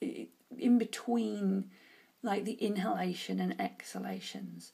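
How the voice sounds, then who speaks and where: A woman with a British accent, at a fairly slow pace. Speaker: oracle card reader. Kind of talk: tarot-style card reading monologue. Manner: casual, hesitant with fillers.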